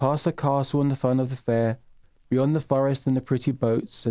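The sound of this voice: The reading sounds unforced. Intonation holds fairly level.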